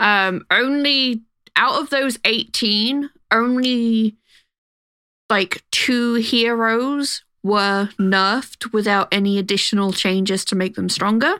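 Recorded very cleanly against a silent background, the sound is dry and close with no echo. A woman speaks very slowly in a fairly high voice, with ordinary pitch variation and very even loudness. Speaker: podcast co-host. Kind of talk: casual chat.

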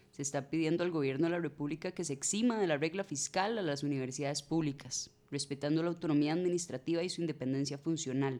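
In a Costa Rican accent, the speaker goes at a very fast pace with hardly any pauses on a very clean recording with a silent background. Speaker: community communication activist. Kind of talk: casual panel discussion.

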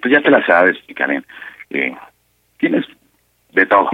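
Someone with a Mexican accent speaks at a very slow pace. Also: man. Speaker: caller. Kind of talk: prank call. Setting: phone call. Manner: halting, many fillers.

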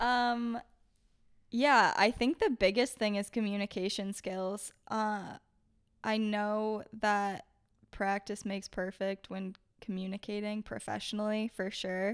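A woman with an unremarkable speaking voice talks at a medium pitch and a fairly slow pace, with fairly even intonation. The recording is very clean, with a silent background. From Maine, US. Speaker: former intern, graduate student. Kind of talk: interview.

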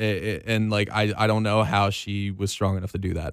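At a moderate pace and a fairly low pitch, a man talks in an unremarkable speaking voice, captured in a very clean recording with a silent background. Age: 20s. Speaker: radio host. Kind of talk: casual chat. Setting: studio.

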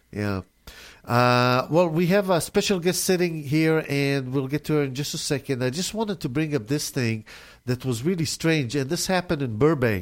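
The background is silent on a very clean recording. Intonation rises and falls in a lively way. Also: man, fairly high pitch for a man, moderate pace. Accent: Israeli. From Israel. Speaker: radio host. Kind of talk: casual radio interview. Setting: radio studio.

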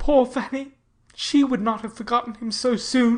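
In a put-on character voice, a woman sounds shaky and sad, speaking with high pitch at a moderate pace in a monotone, flat delivery. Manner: sad, quivering.

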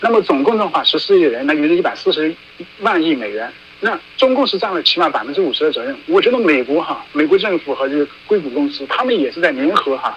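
Over noticeable background noise, a man speaks at a very fast pace. His high voice swings very widely in pitch. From China, Hunan (Qidong county). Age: 30s. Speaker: dissident activist, former journalist. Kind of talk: interview.

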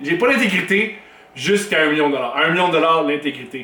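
In a room with audible echo and noticeable background noise, a man projects a raised voice at a high pitch. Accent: Quebec. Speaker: comedian and podcast host. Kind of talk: podcast intro monologue.

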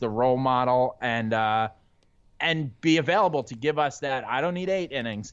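A man with an unremarkable speaking voice and fairly high pitch talks at a moderate pace with lively intonation. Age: 30s. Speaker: guest, sports blogger. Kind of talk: casual chat.

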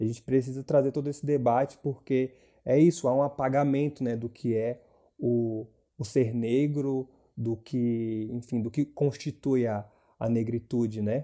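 A man talks at a medium pitch with a dark, mellow tone and fairly even intonation. The recording is very clean, with a silent background. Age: 20s. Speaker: university student and activist. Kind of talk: casual chat.

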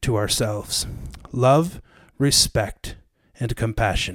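A man with an ordinary speaking voice shows ordinary pitch variation. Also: very clean recording, silent background. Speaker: podcast host. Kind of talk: casual chat.

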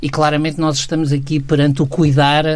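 The speaker is a man. His pitch is fairly high. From Portugal, Aveiro. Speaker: sociologist, resident commentator. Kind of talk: radio commentary discussion. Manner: halting, many fillers.

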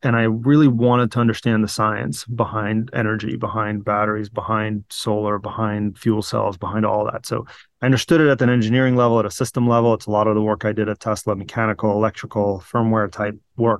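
A man with a normal speaking voice talks at a fairly quick pace against a quiet background. His medium-pitched voice carries fairly even intonation. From Virginia, US (moved from Ukraine/Russia at nine). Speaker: battery startup CEO and engineer. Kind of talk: interview.

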